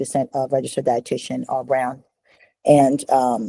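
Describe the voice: With a dry, close sound and no echo, a woman speaks at an extremely low pitch in a dark, mellow tone, her pitch moving very little.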